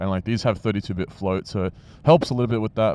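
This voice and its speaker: An Australian accent marks this man's speech. The rise and fall of his pitch is ordinary. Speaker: motovlogger. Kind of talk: casual vlog talk.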